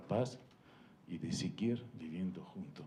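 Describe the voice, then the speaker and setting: A man talks at a very slow pace. His tone is dark and mellow, and somewhat breathy. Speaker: ambassador. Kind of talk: panel talk. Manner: halting, many fillers.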